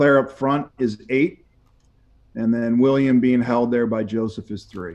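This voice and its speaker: In an American accent, a man with an ordinary speaking voice talks at a fairly slow pace, medium in pitch and with fairly even intonation. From northern US. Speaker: football coach. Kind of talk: interview.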